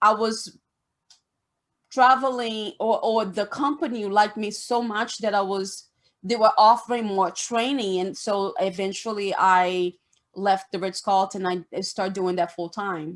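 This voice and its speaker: This woman speaks with a Brazilian Portuguese accent. Her pitch varies in an ordinary way. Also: medium pitch for a woman, fairly slow pace. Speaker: esthetician. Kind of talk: interview. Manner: halting.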